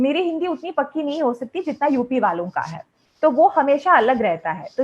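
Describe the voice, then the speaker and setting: A woman talks with a Malayalam accent at a high pitch. Her pitch swings very widely. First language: Malayalam (speaking Hindi). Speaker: English teacher. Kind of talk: lecture. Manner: conversational, with hesitations.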